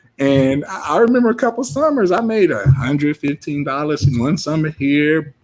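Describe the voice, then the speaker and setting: A man with an American accent and an unremarkable speaking voice talks at a moderate pace. His fairly high voice has lively intonation, and the sound is dry and close with no echo. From Southern California, Long Beach area. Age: 30s. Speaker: entrepreneur. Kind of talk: motivational talk.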